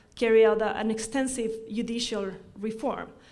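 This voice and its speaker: With an Ecuadorian accent, the speaker keeps a moderate pace while audible room echo surrounds the voice. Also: woman. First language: Spanish. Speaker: law professor. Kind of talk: conference talk. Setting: forum with audience. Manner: halting, frequent self-corrections.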